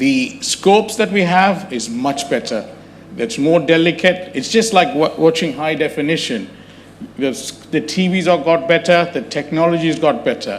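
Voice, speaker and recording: The speaker uses lively intonation over noticeable background noise. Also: man, high pitch for a man, moderate pace. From India, Chennai. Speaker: gastroenterologist, endoscopist. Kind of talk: talk at a public health awareness event.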